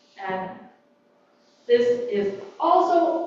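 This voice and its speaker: Amid noticeable background noise and audible room echo, a woman speaks at a high pitch with very wide pitch swings. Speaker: workshop presenter. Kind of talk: workshop talk. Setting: library room with live audience. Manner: hesitant, many fillers.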